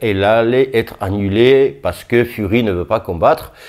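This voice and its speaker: A man speaks at a fairly slow pace, his fairly low pitch showing ordinary pitch variation. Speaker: boxing youtuber. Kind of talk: casual vlog commentary. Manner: halting, many fillers.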